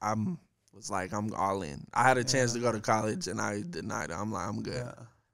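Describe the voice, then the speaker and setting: With vocal fry and a fairly low pitch, a man speaks at a fairly quick pace in a dry sound with no echo over light background noise. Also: big swings in loudness. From Denver, Colorado. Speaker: rapper. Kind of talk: casual chat. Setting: studio. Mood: relaxed, smiling. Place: studio. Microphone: studio mic.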